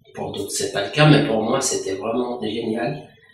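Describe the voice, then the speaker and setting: A man is speaking. The room echo is audible. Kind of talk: interview answer. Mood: satisfied, calm. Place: office.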